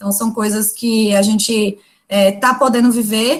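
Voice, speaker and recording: A woman's somewhat breathy voice carries a fairly high pitch and fairly even intonation. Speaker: university lecturer. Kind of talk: lecture.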